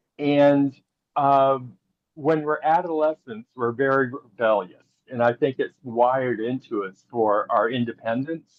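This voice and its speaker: A man speaks at a medium pitch and a fairly slow pace. He has a plain, everyday voice with ordinary pitch variation. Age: 60s. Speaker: panel attendee. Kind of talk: online panel discussion.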